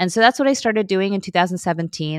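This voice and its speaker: Speaking with a Midwestern accent at a fairly quick pace, a woman uses ordinary pitch variation in a dry, close recording with no echo and a quiet background. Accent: American (Midwest). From US, Chicago. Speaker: lawyer and vegan food blogger. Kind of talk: interview conversation.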